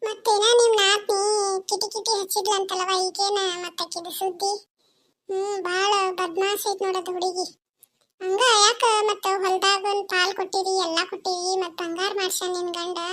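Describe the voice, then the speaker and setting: In a cartoonish character voice, a female-sounding speaker talks fairly slowly at an extremely high pitch, her intonation flat and monotone. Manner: chatty, colloquial.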